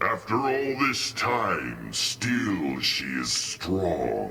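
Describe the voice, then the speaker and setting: Using a put-on character voice at a fairly low pitch, a man speaks at a very slow pace against clear background noise. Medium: game stream. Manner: solemn.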